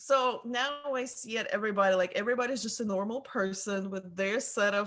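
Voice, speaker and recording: A woman speaks at a moderate pace in a Russian accent. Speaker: photographer. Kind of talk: casual interview chat.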